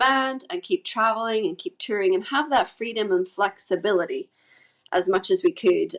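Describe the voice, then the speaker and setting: In a Northern Irish accent, a woman with a fairly high pitch talks at a moderate pace, her pitch swinging very widely. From Northern Ireland, Carrickfergus near Belfast. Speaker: musician in a folk band, homeschooling mother. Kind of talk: podcast interview. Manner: casual, with many fillers.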